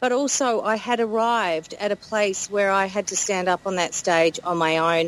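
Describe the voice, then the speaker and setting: Talking at a moderate pace with hardly any pauses, a woman with an Australian accent keeps a medium pitch and very even loudness. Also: ordinary pitch variation. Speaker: podcast host. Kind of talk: casual chat.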